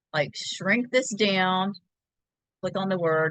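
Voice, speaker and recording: Against a quiet background, a woman speaks loudly at a fairly slow pace with a bright, sharp tone, in a dry sound with no echo. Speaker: laser engraving crafter teaching; craft software demonstrator. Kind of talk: tutorial. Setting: video call. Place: home room. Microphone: video call.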